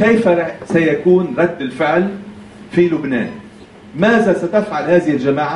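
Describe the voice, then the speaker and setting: A man speaks at a high pitch and a fairly slow pace. Audible room echo and light background noise fill the recording. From Lebanon. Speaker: political commentator. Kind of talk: lecture. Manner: conversational. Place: hall.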